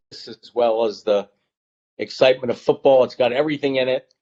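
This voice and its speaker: A man speaks at a medium pitch. He has an unremarkable speaking voice. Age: 60s. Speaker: author. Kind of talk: casual chat.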